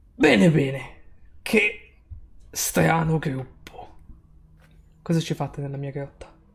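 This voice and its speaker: In a put-on character voice, the speaker uses a raspy, low-to-middle pitch at a fairly slow pace with long, frequent pauses. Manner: gruff, menacing.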